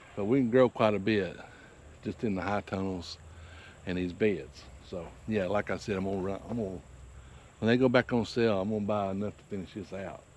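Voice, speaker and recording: Here is a man with a normal speaking voice at a fairly low pitch. He speaks at a fairly quick pace, with fairly even intonation. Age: 60s. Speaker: farmer. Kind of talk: tutorial. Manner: casual, rambling with fillers.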